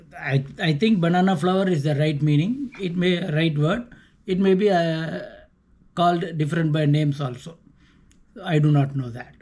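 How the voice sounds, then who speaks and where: The speech comes in a Tamil Nadu accent at a moderate pace. Pitch varies an ordinary amount. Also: man, fairly high pitch for a man. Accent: Tamil Indian English. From South India (Tamil). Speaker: vlogger. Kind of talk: casual monologue. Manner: halting, with self-corrections.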